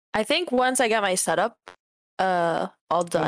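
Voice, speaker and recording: With an ordinary speaking voice, a woman speaks at a medium pitch and a fairly slow pace with lively intonation, in a dry, close sound with no echo. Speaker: podcast co-host, aspiring streamer.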